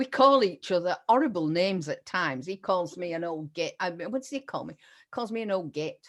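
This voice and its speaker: In a Yorkshire accent, a woman talks at a fairly quick pace and medium pitch with lively intonation and big swings in loudness, on a very clean recording with a silent background. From Yorkshire, northern England. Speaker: interview host, writing mentor. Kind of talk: casual interview chat.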